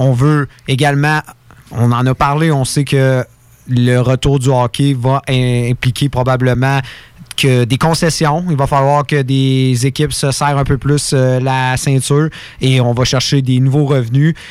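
In a monotone, flat delivery, a man of medium pitch speaks at a very slow pace with very even loudness. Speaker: hockey radio panelist. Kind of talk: hockey talk radio panel.

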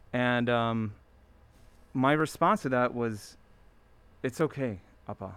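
With an American accent, the speech moves at a very slow pace with long, frequent pauses and ordinary pitch variation, on a very clean recording with a silent background. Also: man, medium pitch for a man. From US, Maryland (Baltimore area). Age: 40s. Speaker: streetwear designer and brand founder. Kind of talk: casual chat.

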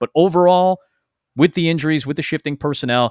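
Very fast and with an American accent, a man speaks in a dry, close sound with no echo on a very clean recording with a silent background. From Chicago suburbs. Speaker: sports play-by-play broadcaster. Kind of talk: casual chat.

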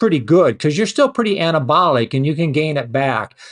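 A man speaks in a high voice. His pitch swings very widely. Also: quiet background. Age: 70s. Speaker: nutrition scientist. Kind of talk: interview.

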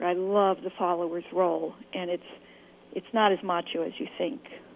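A woman with an American accent speaks in a normal speaking voice, her pitch medium and its variation ordinary. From California. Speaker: author, tango dancer. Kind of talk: interview.

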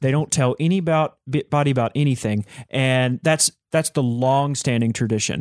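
A man speaks in a normal speaking voice at a moderate pace, with very even loudness. The recording is very clean with a silent background and a dry, close sound with no echo. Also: medium pitch for a man, ordinary pitch variation. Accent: American. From Texas. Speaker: music company co-founder, fiddle player. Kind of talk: interview conversation.

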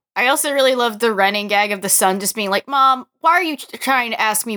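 A woman's bright, sharp voice with lively intonation and a fairly quick pace, in a dry, close sound with no echo and a very clean recording over a silent background. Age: 20s. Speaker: podcast guest, musical theatre fan. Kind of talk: casual chat.

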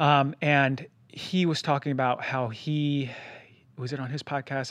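Against a quiet background, a man talks in a medium pitch. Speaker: podcast host; doctor. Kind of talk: health podcast monologue and interview. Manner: fast; animated.

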